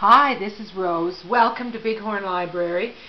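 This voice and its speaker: A woman at a moderate pace with ordinary pitch variation over light background noise. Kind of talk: tutorial. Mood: warm, friendly. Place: hall. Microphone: phone near.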